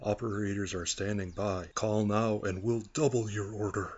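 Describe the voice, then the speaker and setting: A man speaks in a put-on character voice at a fairly low pitch. The pace is moderate. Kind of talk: TV commercial read.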